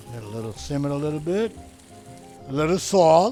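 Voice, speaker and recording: A man with a Sicilian accent speaks in a fairly high, energetic, playful voice with lively intonation. Music plays in the background. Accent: Italian (Sicilian). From Sicily. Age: 70s. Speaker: chef, restaurant owner. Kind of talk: cooking demonstration.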